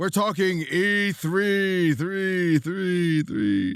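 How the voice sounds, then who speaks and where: A man does a put-on character voice pitched high, speaking at a very slow pace. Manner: echo effect, trailing repeats.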